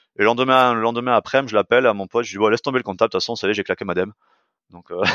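Talking very fast, a man speaks at a medium pitch. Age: 40s. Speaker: fitness coach and sports nutrition entrepreneur. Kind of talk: casual interview conversation. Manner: hesitant, many fillers and restarts.

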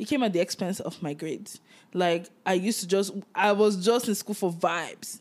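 The speaker has a plain, everyday voice with ordinary pitch variation, heard in a very clean recording with a silent background. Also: woman, medium pitch for a woman, moderate pace. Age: 20s. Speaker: podcast co-host. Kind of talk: casual chat.

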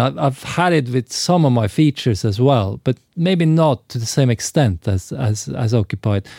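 In a Norwegian accent, the speaker uses lively intonation at a fairly slow pace, recorded with a dry, close sound and no echo. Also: man. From Norway. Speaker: film and TV director. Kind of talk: interview. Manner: halting, many repetitions.

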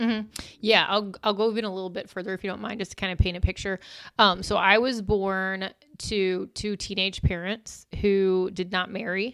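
At a moderate pace, a woman speaks in a Midwestern US accent with monotone, flat intonation. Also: medium pitch for a woman. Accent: US Midwest. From Illinois. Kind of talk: testimony.

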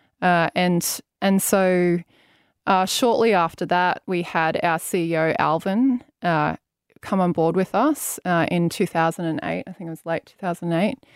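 In a very clean recording with a silent background and a dry, close sound with no echo, a woman with an Australian accent speaks at a fairly slow pace, her pitch fairly low, with ordinary pitch variation and big swings in loudness. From Brisbane, Australia. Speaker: chief operating officer. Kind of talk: interview. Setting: studio.

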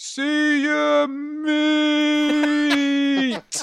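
A put-on character voice at a high pitch. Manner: mocking.

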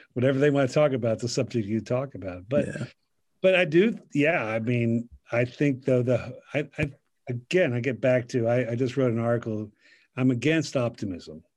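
This man has a normal speaking voice and an American accent, talking at a moderate pace with medium pitch and ordinary pitch variation. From US, Central Pennsylvania. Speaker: pastor. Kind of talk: casual chat.

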